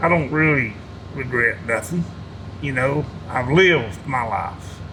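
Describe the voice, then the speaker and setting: A man with an Appalachian accent at medium pitch and a fairly slow pace, with very wide pitch swings, audible room echo and noticeable background noise. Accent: Southern US Appalachian. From North Carolina (Hickory). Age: 70s. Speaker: war veteran. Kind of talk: interview. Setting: veterans' hall. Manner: casual, halting.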